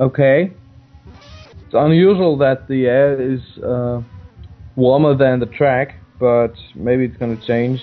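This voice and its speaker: A man with a non-native accent at a fairly slow pace, ordinary pitch variation and long, frequent pauses, with music in the background. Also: medium pitch for a man. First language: not English. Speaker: sim racing commentator. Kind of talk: live commentary. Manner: halting.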